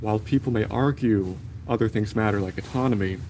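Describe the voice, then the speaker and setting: With a normal speaking voice and an American accent, a man talks at a fairly quick pace in a fairly low pitch. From USA. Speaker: medical student. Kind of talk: conference talk.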